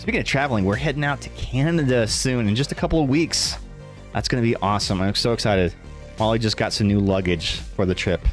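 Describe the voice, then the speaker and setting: A man at a very fast pace, fairly low in pitch, with lively intonation and very even loudness, over music in the background. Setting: streaming. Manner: louder than normal.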